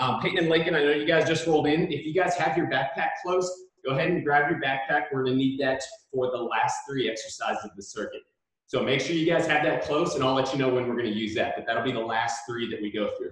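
Delivered at a very fast pace with ordinary pitch variation, the speech carries audible room echo over a quiet background. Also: man. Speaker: PE coach. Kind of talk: workout instruction. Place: gym. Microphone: camera far.

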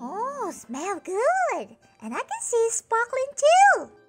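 A cartoonish character voice at an extremely high pitch speaks very slowly over music in the background. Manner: bossy, excitable.

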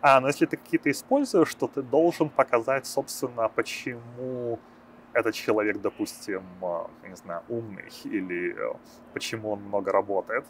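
Over light background noise, a man talks at a moderate pace with big swings in loudness and long, frequent pauses. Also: dry sound with no echo. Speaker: programmer and startup founder. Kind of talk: interview; interview answer. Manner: hesitant, many filler sounds. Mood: calm, friendly. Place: street. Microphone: lapel.

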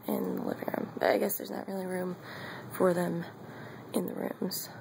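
A woman whispers at a moderate pace. Noticeable background noise is present. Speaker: college student. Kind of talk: casual vlog apartment tour. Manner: whispered. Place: home room. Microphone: phone near.

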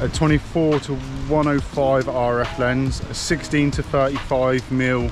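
Clear music sits in the background while a man speaks with fairly even intonation in a dry sound with no echo. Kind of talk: casual vlog chat. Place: forest. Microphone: phone near.

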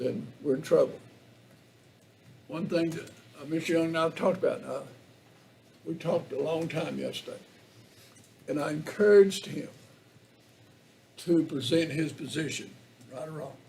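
Speaking with an Appalachian accent, a man with a fairly high pitch keeps his intonation fairly even at a moderate pace, broken by long, frequent pauses. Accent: Southern Appalachian US. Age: 70s. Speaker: county commissioner. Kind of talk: public meeting debate. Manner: halting.

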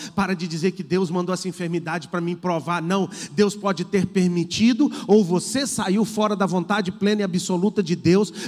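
Against a quiet background, a man speaks with an animated tone and hardly any pauses. His pitch is high. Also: moderate pace. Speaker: pastor. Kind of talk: sermon, preacher in full flow, fervent exhortation. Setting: church. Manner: animated, emphatic, repeating phrases for rhythm; urgent, direct appeals to the congregation. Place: church. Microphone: handheld.

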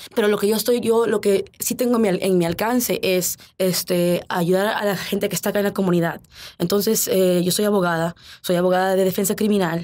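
The speaker talks at a fairly quick pace with fairly even intonation and very even loudness. The recording is very clean, with a silent background. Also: woman, medium pitch for a woman. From US, Arlington, Virginia, Peruvian parents. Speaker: lawyer and former state legislator. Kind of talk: interview. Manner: halting, many fillers and repetitions.

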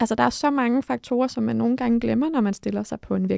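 A woman is heard against a quiet background in a dry sound with no echo. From Denmark. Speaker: mental coach and former judo athlete; podcast co-host. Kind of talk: casual chat. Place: studio. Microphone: studio mic.

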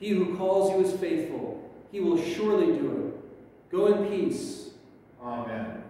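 Strong room echo surrounds a man as he speaks. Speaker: pastor leading worship. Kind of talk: liturgy. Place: church.

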